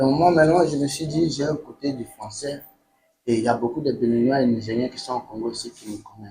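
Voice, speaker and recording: A man with a dark, mellow tone talks at a fairly quick pace, somewhat breathy. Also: medium pitch for a man, ordinary pitch variation, big swings in loudness. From Benin, Nigerian family. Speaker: musician. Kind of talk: interview. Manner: halting, repetitive phrasing.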